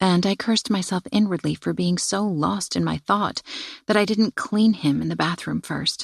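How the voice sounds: This is a natural reading voice. The words are simply read aloud.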